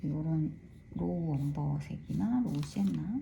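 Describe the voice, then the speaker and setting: A woman is speaking. Her pace is fairly slow. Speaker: watercolor art teacher. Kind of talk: tutorial. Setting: art studio. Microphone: room echo.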